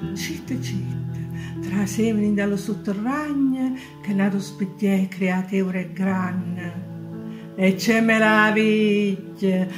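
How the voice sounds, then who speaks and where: With music in the background, a woman speaks in an Apulian accent at a very slow pace. Her pitch is medium, with ordinary variation. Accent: Canosa di Puglia dialect. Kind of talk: poetry reading.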